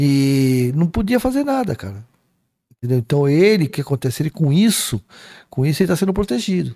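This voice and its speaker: Very wide pitch swings at a fairly quick pace, in a dry, close sound with no echo on a very clean recording with a silent background. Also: man, fairly high pitch for a man. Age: 60s. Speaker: spiritist speaker. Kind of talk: casual chat.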